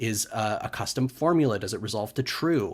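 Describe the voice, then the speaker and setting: Over a very clean recording with a silent background, a man with an American accent speaks at a moderate pace in a medium pitch with ordinary pitch variation. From California. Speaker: conference speaker, game developer. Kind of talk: conference talk. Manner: casual with frequent fillers.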